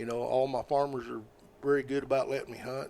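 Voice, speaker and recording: Using a monotone, flat intonation, a man with an American accent and medium pitch talks at a fairly quick pace. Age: 60s. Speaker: squirrel dog hunter. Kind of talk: casual interview chat.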